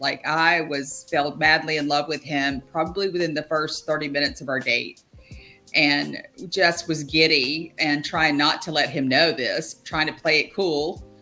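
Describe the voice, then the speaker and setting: Music plays in the background as a woman speaks. Her pitch is very deep and low, and her pace is moderate. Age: 60s. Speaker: mental health advocate. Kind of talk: casual chat. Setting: podcast.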